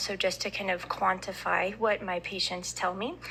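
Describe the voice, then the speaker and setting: A woman's voice at a medium pitch. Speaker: addiction medicine physician testifying. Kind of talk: legislative committee testimony. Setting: committee hearing room. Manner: hesitant, many ums. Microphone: too quiet, told to move closer.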